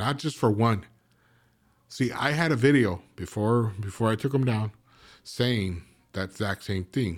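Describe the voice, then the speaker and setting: A man speaks at a medium pitch and a fairly slow pace, with ordinary pitch variation and long, frequent pauses, on a very clean recording with a silent background. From East Los Angeles. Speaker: former gang member. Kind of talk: casual interview.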